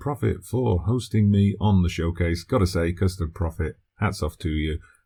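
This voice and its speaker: Breathing a little into his dark, mellow tone, a man talks at a moderate pace with ordinary pitch variation on a very clean recording with a silent background. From UK. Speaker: gaming video creator. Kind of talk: channel self-introduction.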